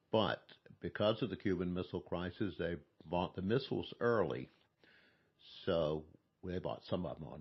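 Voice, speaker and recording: Very deep and low in pitch, a man speaks at a moderate pace with ordinary pitch variation. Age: 70s. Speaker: Air Force veteran. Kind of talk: oral history interview.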